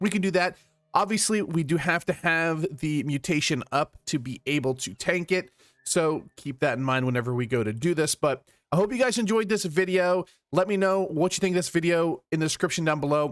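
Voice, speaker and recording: Speaking at a fairly quick pace, a man with a high pitch uses lively intonation in a very clean recording with a silent background. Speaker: gaming youtuber. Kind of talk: casual video outro. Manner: quieter than the other speaker.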